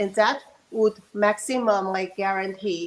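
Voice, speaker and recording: A woman talks at a moderate pace. Background noise is noticeable behind her. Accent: Chinese. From China. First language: Chinese. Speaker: virologist and dissident. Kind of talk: panel discussion.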